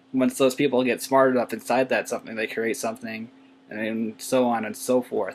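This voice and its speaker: Male speech at medium pitch, fairly quick, in a monotone, flat delivery. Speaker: YouTuber. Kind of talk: casual vlog monologue. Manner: soft-spoken; halting, many fillers.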